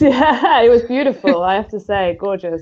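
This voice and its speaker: This woman has a British accent and lively intonation. She talks at a moderate pace. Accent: common British. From UK. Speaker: project team member. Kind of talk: casual interview chat. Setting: online live stream.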